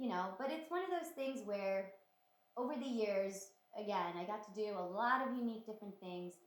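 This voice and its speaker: A woman's medium-pitched voice in a Romanian accent, at a fairly quick pace with lively intonation and audible room echo. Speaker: actress. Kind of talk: casual interview chat.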